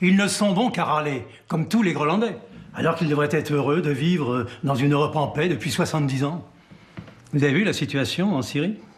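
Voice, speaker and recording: A man with a fairly high pitch talks at a fairly quick pace with lively intonation. His loudness stays very even over noticeable background noise. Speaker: actor. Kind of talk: acting reel scenes.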